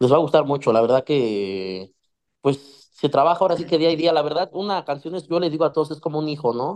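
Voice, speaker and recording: The speaker has an ordinary speaking voice. The pace is fairly quick. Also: man, fairly high pitch for a man. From Mexico, Ecatepec (State of Mexico). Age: 20s. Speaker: musician. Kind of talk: casual chat.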